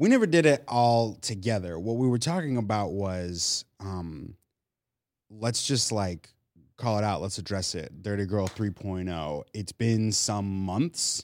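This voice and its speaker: In a very clean recording with a silent background, a man with an ordinary speaking voice talks at a fairly slow pace and fairly low pitch, with lively intonation. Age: 30s. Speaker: podcast co-host. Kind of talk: casual chat.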